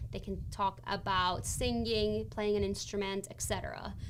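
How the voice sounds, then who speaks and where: A woman speaks with audible room echo. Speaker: college financial aid advisor. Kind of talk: live stream tutorial. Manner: fast.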